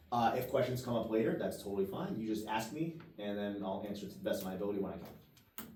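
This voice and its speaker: A man speaks at a very fast pace with ordinary pitch variation. The recording has audible room echo and noticeable background noise. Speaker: real estate agent and coach. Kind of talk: role-play demonstration of a client presentation.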